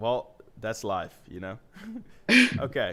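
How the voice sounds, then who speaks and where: A man speaks with a non-native accent at a fairly slow pace. His pitch sits fairly low. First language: not English. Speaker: web designer. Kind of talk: live-streamed design session.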